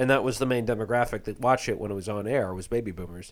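A man speaks at a medium pitch with ordinary pitch variation and a plain, everyday voice. The recording is very clean, with a silent background. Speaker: comedian and podcaster. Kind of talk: casual podcast chat.

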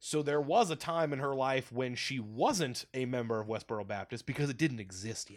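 With an unremarkable speaking voice, a man talks at a moderate pace and medium pitch, his loudness swinging widely, his pitch varying in an ordinary way, and hardly any pauses. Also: quiet background. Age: 20s. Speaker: podcast guest. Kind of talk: casual chat.

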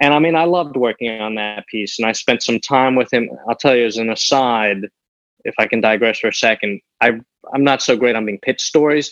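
A man with an American accent has a plain, everyday voice at medium pitch. He speaks at a fairly quick pace in a dry, close sound with no echo. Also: ordinary pitch variation. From New York City (raised from age seven; early years Milan and Paris). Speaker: newspaper obituary writer. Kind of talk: interview.

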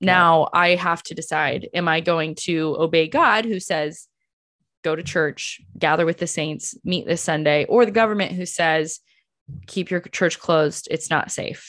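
A woman's fairly low, fairly even voice at a fairly slow pace, a normal speaking voice on a very clean recording with a silent background. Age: 30s. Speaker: podcast host. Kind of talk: casual interview.

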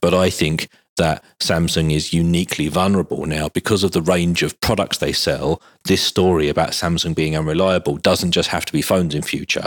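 With a British accent, the speaker delivers monotone, flat intonation in a dry, close sound with no echo. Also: man, very deep, low pitch for a man, fairly quick pace. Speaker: mobile tech podcast host. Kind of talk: casual chat. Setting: studio recording venue.

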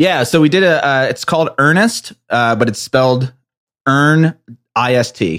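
In a dry, close recording with no echo, a man with an ordinary speaking voice talks at a fairly high pitch with lively intonation. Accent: American. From New Jersey. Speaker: entrepreneur. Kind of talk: casual chat.

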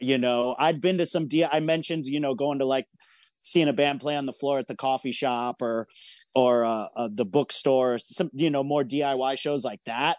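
A man with an American accent and an unremarkable speaking voice talks at a moderate pace and medium pitch, with ordinary pitch variation, in a dry, close sound with no echo and a quiet background. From Michigan, small town. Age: 40s. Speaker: record label owner. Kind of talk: casual interview.

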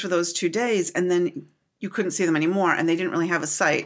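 A woman talks at a very fast pace with an American accent. Her tone is animated. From US Upper Midwest (Minnesota/Wisconsin). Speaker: craft book publisher. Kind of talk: casual interview. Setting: at a fiber arts retreat.

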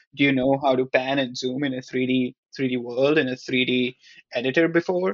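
At a fairly quick pace, a man talks in an ordinary speaking voice at a medium pitch with fairly even intonation. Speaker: product manager. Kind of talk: casual chat.

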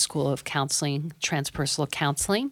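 Here a woman speaks in a very deep, low voice. The recording is very clean, with a silent background. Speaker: psychotherapist and professor. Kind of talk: casual chat.

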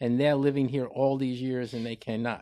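A man with a normal speaking voice and an American accent, medium pitch, dry and close with no echo, on a very clean recording with a silent background. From US Northeast, New York (Bronx). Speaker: podcast co-host. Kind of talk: casual debate.

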